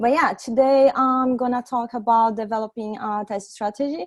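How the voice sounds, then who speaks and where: Recorded very cleanly with a silent background and a dry, close sound without echo, a woman speaks at a moderate pace with a Brazilian accent. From Brazil, Santos. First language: Portuguese. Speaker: software testing engineer, meetup speaker. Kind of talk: tech talk presentation. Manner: halting, many fillers.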